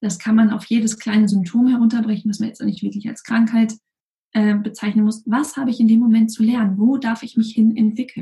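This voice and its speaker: Somewhat breathy and dark, mellow in tone, a woman's voice sits at fairly high pitch. She speaks at a fairly quick pace with monotone, flat intonation. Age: 30s. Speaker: physician and health coach. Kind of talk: interview.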